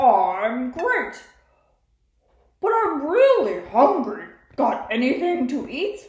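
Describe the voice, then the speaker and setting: A cartoonish character voice, high-pitched and very slow, with very wide pitch swings, long, frequent pauses and a slight echo. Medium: puppet. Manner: upbeat.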